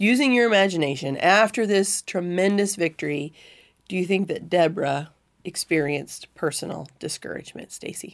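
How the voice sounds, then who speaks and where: Speaking with an American accent, a woman has an unremarkable speaking voice at medium pitch. Her pace is moderate and her intonation lively. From Missouri. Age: 40s. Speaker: Bible teacher and podcast host. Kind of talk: Bible study discussion; reading scripture aloud.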